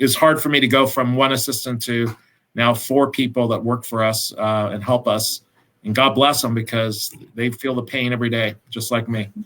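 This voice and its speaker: A man with an American accent at a medium pitch, moderate pace, in a monotone, flat intonation. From Encino, California. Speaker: real estate agent. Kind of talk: panel discussion.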